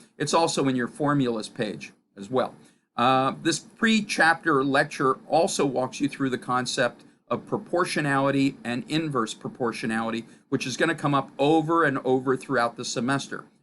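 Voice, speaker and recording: This man has a fairly high voice and talks at a moderate pace with ordinary pitch variation, on a very clean recording with a silent background. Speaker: college physics instructor. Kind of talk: lecture. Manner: loud; filler-heavy, with 'uh' hesitations.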